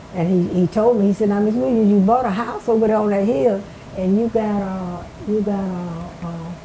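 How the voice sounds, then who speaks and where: Against noticeable background noise, a woman speaks with an Alabama accent at a fairly quick pace. Her voice sits at medium pitch with ordinary pitch variation. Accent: US Southern, Alabama. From Alabama, Marengo County. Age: 90s. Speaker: retired schoolteacher. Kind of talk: oral history interview. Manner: halting, repeats words.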